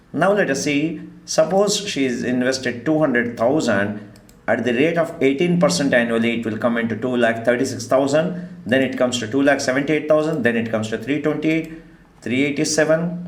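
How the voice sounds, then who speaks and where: Talking at a fairly quick pace, a man with a fairly high pitch is heard with audible room echo. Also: ordinary pitch variation. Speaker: stock market teacher. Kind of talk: online class lecture.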